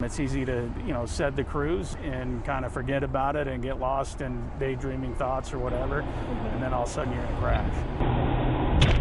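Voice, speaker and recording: A man talks with hardly any pauses against noticeable background noise. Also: moderate pace. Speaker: sheriff's sergeant. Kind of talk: interview answer.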